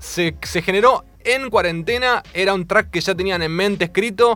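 The voice has an Argentine accent. Its intonation is lively. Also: man. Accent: Rioplatense Argentine Spanish. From Argentina, Mar del Plata. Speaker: radio host. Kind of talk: radio interview. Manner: animated.

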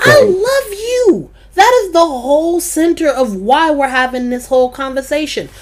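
A woman speaks at a fairly slow pace in an extremely high pitch. Her animated tone carries very wide pitch swings. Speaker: podcast host. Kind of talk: casual chat.

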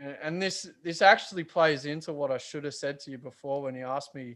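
A man with an Australian accent speaks at a moderate pace, his fairly high voice held to a fairly even intonation on a very clean recording with a silent background. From Australia, western Sydney. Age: 30s. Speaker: metal band guitarist. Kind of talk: casual interview chat.

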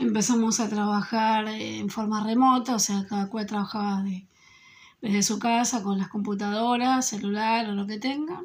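In an Argentine accent, a woman talks at a moderate pace with a fairly high pitch and fairly even intonation. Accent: Argentine Spanish (Rioplatense). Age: 40s. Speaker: school secretary. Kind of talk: interview answers.

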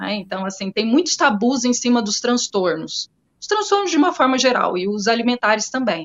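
A woman speaks at a moderate pace in a high voice. Her pitch swings very widely and her loudness rises and falls sharply. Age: 40s. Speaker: clinical psychologist. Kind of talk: interview.

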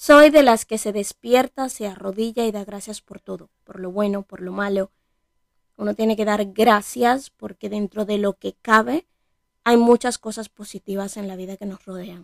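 A normal speaking voice, this woman talks at a moderate pace and medium pitch with ordinary pitch variation and big swings in loudness, in a dry, close sound with no echo. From Dominican Republic, Bonao. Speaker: podcaster. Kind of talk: personal monologue.

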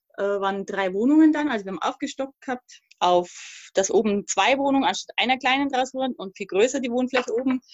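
Speaking at a fairly quick pace with hardly any pauses, a woman uses lively intonation at a high pitch. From Thuringia, East Germany; raised in Upper Palatinate, Bavaria. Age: 40s. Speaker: podcast guest, emigrant mother. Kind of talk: casual conversation.

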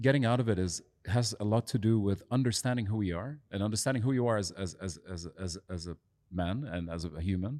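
A man talks at a fairly quick pace in a dark, mellow tone with ordinary pitch variation. The recording is very clean, with a silent background. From Lebanon. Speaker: podcast host. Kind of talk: casual interview conversation.

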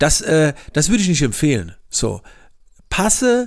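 This is a man speaking. His pitch is fairly high. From Palatinate, Germany. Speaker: podcast host and coach. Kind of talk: solo podcast monologue. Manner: frequent filler sounds; casual.

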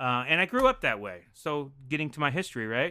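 Bright and sharp in tone, a man speaks with an American accent. His pace is fairly quick. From Denver, Colorado. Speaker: improv comedian and actor. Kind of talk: casual chat. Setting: video call.

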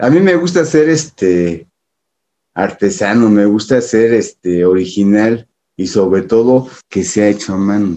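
A dark, mellow tone with lively intonation at a fairly slow pace, in a Mexico City accent. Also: man, fairly low pitch for a man. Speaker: American football superfan. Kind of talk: casual chat.

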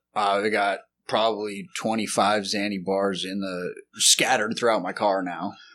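Over a very clean recording with a silent background, a man with a Texan accent speaks at a moderate pace in a fairly low pitch, bright, sharp tone and monotone, flat intonation. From Texas, Lubbock. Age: 30s. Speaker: addict in recovery. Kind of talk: testimony. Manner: halting.

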